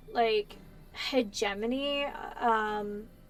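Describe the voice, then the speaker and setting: Here a woman speaks with an American accent. Her pitch shows ordinary variation. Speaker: gaming streamer. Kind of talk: casual live-stream chat while gaming.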